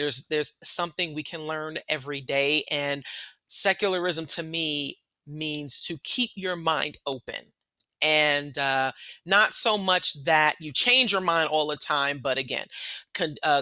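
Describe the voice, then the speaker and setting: A bright, sharp tone at a fairly slow pace, ordinary pitch variation, very clean recording with a silent background. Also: woman, very deep, low pitch for a woman. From New York City. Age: 40s. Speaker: leader of a secular organization. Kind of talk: panel talk.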